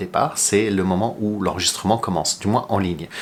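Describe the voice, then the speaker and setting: A man's voice amid noticeable background noise. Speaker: flight attendant YouTuber. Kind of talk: casual tutorial. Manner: unedited, with hesitations.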